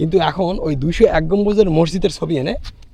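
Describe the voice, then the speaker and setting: This man's voice sits high in pitch. Its tone is dark and mellow. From Bangladesh, Naogaon. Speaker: travel vlogger. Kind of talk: vlog narration and street chat. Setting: outdoors. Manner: animated.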